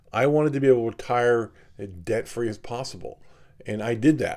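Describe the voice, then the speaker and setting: A man's dark, mellow voice at a fairly quick pace. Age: 60s. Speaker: watch collector and video host. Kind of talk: casual talk to camera. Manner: conversational, many fillers.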